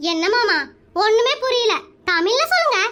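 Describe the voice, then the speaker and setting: In a cartoonish character voice, a female-sounding speaker talks at an extremely high pitch. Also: moderate pace. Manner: chatty, addresses husband as mama.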